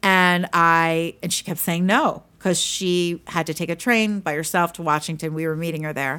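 A plain, everyday voice, a woman with an American accent at fairly low pitch, fairly even intonation, moderate pace and hardly any pauses, on a very clean recording with a silent background. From Pennsylvania. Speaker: public speaking coach and author. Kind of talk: casual interview chat. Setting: studio.

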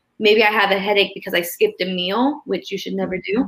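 Words come at a very fast pace, and the intonation stays fairly even. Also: woman. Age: 20s. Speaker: yoga instructor and personal trainer. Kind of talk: casual chat.

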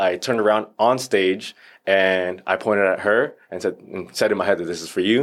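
In an American accent, a man with a fairly low pitch talks at a moderate pace with ordinary pitch variation and an ordinary speaking voice, on a very clean recording with a silent background. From Northern Virginia. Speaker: actor and stuntman. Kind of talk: casual chat.

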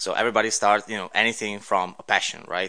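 The speaker has an Italian accent and a bright, sharp tone. The intonation stays monotone and flat. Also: man. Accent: Italian accent, noticeable. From Italy. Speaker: podcast guest, racing background. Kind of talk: interview. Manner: halting, many fillers.

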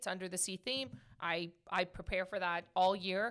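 Loud, animated speech from a woman of medium pitch, bright and sharp in tone. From Portuguese heritage. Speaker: podcast host. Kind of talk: casual chat. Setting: studio.

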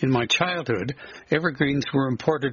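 A man speaks with a Canadian prairie accent. His pitch sits in the medium range. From southern Alberta prairies, Canada. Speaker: writer. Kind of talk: reading aloud a nostalgic memoir essay.

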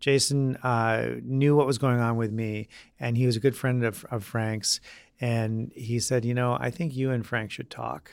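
This is a normal speaking voice from a man. His pitch is medium and his intonation fairly even. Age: 40s. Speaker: chef. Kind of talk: casual chat.

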